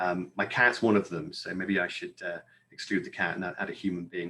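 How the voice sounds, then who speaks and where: A man at a moderate pace with a British accent. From United Kingdom. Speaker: library services vendor representative. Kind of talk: conference presentation.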